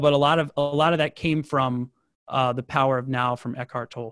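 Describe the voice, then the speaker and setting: A normal speaking voice at a moderate pace, fairly even intonation, dry, close sound with no echo and a quiet background. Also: man. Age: 20s. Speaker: marketing agency CEO. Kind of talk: interview.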